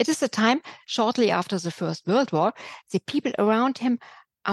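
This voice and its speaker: A woman uses a normal speaking voice with lively intonation. Her pace is moderate, and the background is quiet. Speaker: museum curator. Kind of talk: interview.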